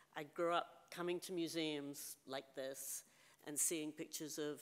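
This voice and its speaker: The voice carries a British accent and a monotone, flat intonation on a very clean recording with a silent background. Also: woman. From England, London. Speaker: photographer. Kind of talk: lecture. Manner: casual.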